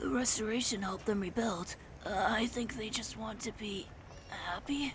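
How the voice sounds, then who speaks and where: A female-sounding put-on character voice, fairly high in pitch, moves at a moderate pace against clear background noise. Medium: dub. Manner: hesitant, polite.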